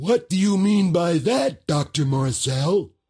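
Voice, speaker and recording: In a put-on character voice, a man speaks fairly slowly at a high pitch. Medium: video game.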